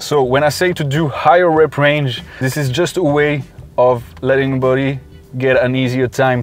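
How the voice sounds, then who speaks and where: The voice is a man's, fairly high in pitch. Behind it, music is playing. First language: not English. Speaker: fitness youtuber and personal trainer. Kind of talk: tutorial; vlog. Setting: gym. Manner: casual, conversational.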